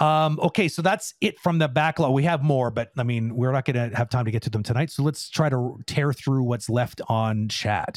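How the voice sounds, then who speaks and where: In a very clean recording with a silent background, a man speaks at medium pitch with very even loudness. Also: ordinary pitch variation. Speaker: animation industry mentor. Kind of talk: casual Q&A livestream. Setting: video livestream. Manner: fast talker.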